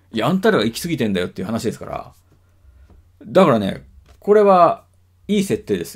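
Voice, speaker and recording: A man with vocal fry speaks at a fairly quick pace but with long, frequent pauses, showing very wide pitch swings and big swings in loudness against a quiet background. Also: medium pitch for a man. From Japan. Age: 40s. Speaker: video blogger. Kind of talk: casual monologue. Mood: reflective, musing. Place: home room. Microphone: webcam.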